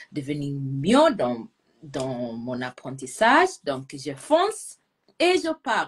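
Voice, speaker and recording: At a very slow pace, a woman speaks with a non-native accent. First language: not French (speaking French). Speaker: language teacher. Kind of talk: live video chat.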